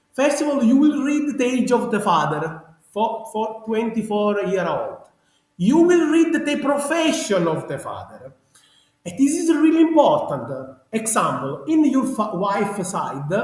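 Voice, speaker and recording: A man with a strong Sicilian accent at an extremely high pitch, with very wide pitch swings and a fairly slow pace, in audible room echo. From Sicily, Italy. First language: Italian. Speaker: genealogy researcher. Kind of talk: interview. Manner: animated; halting.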